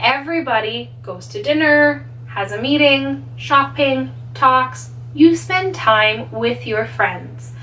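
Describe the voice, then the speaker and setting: A woman at a very slow pace, with big swings in loudness and audible room echo. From Canada. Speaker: English teacher. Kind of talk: tutorial.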